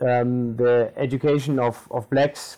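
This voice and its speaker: Medium pitch from a man with a German accent, a dark, mellow tone and fairly even intonation. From Namibia. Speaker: tour guide and bookshop owner. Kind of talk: interview.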